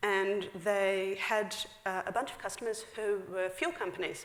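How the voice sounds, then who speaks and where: A woman with a New Zealand accent speaks at a medium pitch, with audible room echo around her voice. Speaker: software engineer. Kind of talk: conference talk. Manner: fast; casual, filler-heavy.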